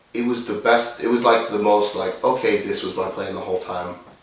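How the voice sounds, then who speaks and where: A quiet man speaks with an American accent. The room echoes audibly, and there is noticeable background noise. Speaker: rapper. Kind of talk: casual chat. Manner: low-key, quiet delivery.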